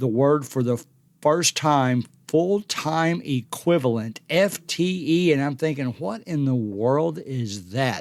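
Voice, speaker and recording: With an American accent, a man in an ordinary speaking voice talks fairly slowly at a fairly high pitch, his intonation lively, on a very clean recording with a silent background. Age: 60s. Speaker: podcast host, substitute teacher. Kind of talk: casual solo podcast talk.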